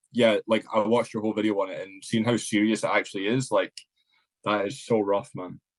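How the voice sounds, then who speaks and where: A man with a Scottish accent talks at a medium pitch, recorded with a dry, close sound and no echo. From Scotland. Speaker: content creator, podcast guest. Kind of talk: casual chat.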